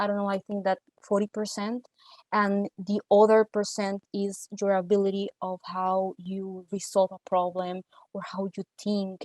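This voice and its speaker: A woman speaks in a Spanish accent at medium pitch and a moderate pace, her intonation flat and monotone. The sound is dry and close with no echo, against a quiet background. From Costa Rica. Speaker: data analyst. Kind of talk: interview. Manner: halting, many repeated words.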